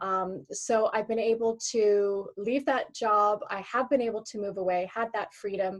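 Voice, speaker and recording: A woman with a Canadian accent has a normal speaking voice, pitched fairly high. She talks at a fairly slow pace with hardly any pauses and fairly even intonation. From Canada, Alberta. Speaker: former teacher, online business owner. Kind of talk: interview.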